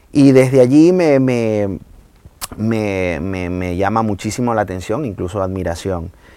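Dark, mellow tone with lively intonation. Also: man, fairly low pitch for a man, fairly slow pace. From Venezuela, Maracay. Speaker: salsa singer. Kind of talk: casual chat.

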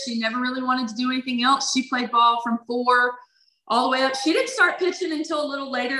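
Projecting her raised voice, a woman speaks in a Louisiana accent at a high pitch with ordinary pitch variation. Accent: Louisiana Southern US. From Louisiana (Baton Rouge). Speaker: former college softball player. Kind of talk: interview.

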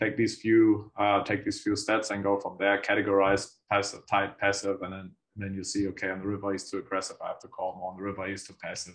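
A man speaks at a fairly quick pace in an unremarkable speaking voice, pitched fairly low. The background is quiet. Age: 30s. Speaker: professional poker player. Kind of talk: interview.

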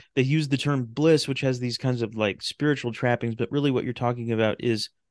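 Against a quiet background, a man with a plain, everyday voice speaks at a medium pitch with fairly even intonation, the sound dry and close with no echo. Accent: American. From California, Sacramento. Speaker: radio drama creator and podcast host. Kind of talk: casual interview chat.

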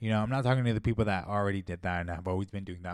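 A man's fairly low voice at a very fast pace, on a very clean recording with a silent background. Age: 20s. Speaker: podcast host and fitness influencer. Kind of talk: casual solo podcast monologue. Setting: home bedroom studio. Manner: casual, relaxed with many fillers.

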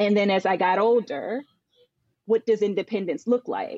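A woman with an American accent in an unremarkable speaking voice, medium in pitch and moderate in pace, with ordinary pitch variation and a dry, close sound with no echo. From Northern Virginia, US. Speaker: business consultant and former accountant. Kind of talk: casual chat.

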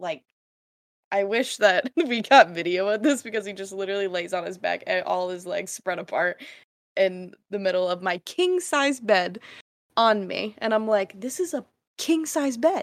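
A woman with an unremarkable speaking voice talks at medium pitch and a moderate pace, her intonation lively. The recording is very clean, with a silent background. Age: 20s. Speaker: podcast co-host and hairstylist. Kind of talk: casual chat.

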